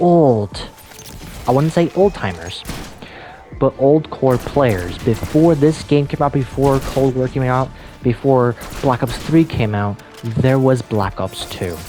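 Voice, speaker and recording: Soft-spoken and very slow, the speaker leaves long, frequent pauses while music plays in the background. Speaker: gaming video creator. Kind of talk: casual monologue. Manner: quiet, soft-spoken; halting. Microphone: voice may be cutting out.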